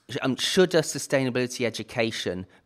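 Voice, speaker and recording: A man with a British accent talks at a fairly quick pace with lively intonation. The recording is very clean, with a silent background. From United Kingdom. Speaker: podcast host. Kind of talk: interview.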